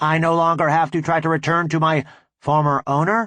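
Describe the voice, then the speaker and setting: A man puts on a character voice with a fairly high pitch. He talks at a fairly quick pace over a quiet background. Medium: read story. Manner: formal, polite.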